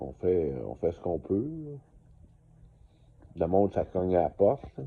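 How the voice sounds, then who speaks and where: A man with a very deep, low voice talks at a fairly slow pace, his pitch swinging very widely. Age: 60s. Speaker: vlogger. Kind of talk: casual monologue to camera. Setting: motel room. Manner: halting, many fillers.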